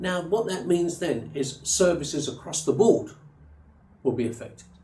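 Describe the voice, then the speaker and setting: Audible room echo surrounds a man's dark, mellow voice, which sits high in pitch. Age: 70s. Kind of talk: interview. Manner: halting.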